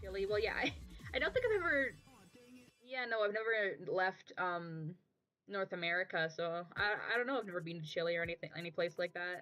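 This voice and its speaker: With music in the background, a woman speaks fairly quickly at a medium pitch with ordinary pitch variation. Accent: western Canadian. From Canada, Kelowna BC. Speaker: streamer and artist. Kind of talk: casual chat while drawing on stream. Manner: hesitant, many fillers. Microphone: muffled built-in laptop microphone.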